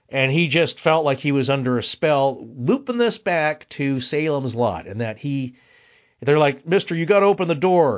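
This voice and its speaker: Here is an ordinary speaking voice: a man with a fairly high pitch at a moderate pace. His intonation is lively. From US Pacific Northwest, Spokane area. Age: 50s. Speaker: podcaster. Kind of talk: casual interview conversation.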